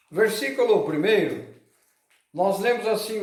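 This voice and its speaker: A man's high-pitched voice with audible room echo. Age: 70s. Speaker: pastor. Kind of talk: sermon.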